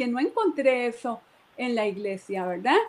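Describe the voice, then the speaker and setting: A woman speaks over noticeable background noise. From Costa Rica (Moravia, San José). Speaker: church member giving testimony. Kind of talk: testimony. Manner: hesitant, repeats words.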